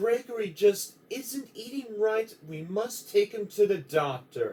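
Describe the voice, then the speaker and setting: Here a man puts on a character voice. It is high-pitched and fairly slow. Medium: read story.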